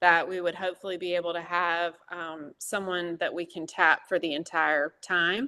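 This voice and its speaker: Against a quiet background, a woman talks at a fairly slow pace and a medium pitch. She has an unremarkable speaking voice with fairly even intonation. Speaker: church lay leader. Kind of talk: church meeting presentation. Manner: many filler words.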